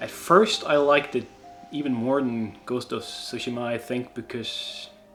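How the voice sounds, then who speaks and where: Noticeable background noise surrounds a man with a Swedish accent. He talks very slowly at a medium pitch with ordinary pitch variation. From Sweden. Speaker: YouTuber, cosplayer. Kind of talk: casual Q&A. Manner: halting, many fillers.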